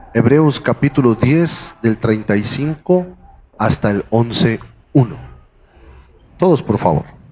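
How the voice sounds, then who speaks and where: A man with medium pitch and lively intonation speaks at a very slow pace, leaving long, frequent pauses, his loudness very even. Noticeable background noise is present. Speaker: preacher. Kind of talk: sermon. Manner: soft-spoken.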